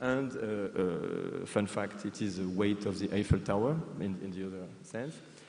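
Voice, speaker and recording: Audible room echo surrounds a man's voice. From France. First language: French. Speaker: museum professional. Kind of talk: conference presentation. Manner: hesitant, many fillers and repetitions.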